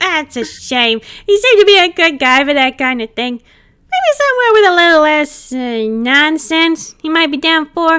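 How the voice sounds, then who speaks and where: A put-on character voice from a woman, extremely high-pitched, at a moderate pace with hardly any pauses. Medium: read story. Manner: cheeky, casual slang.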